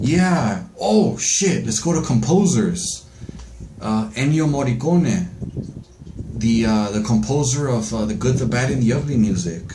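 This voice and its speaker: A man talking at a fairly slow pace, his pitch swinging very widely, with noticeable background noise and audible room echo. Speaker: astrology vlogger. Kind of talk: casual monologue. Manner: halting, many fillers.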